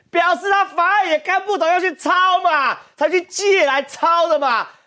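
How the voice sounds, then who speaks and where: With a Taiwanese accent, a man speaks in an animated tone. The background is quiet. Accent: Taiwanese Mandarin. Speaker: political talk show host. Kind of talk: political talk show commentary. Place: studio. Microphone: lapel.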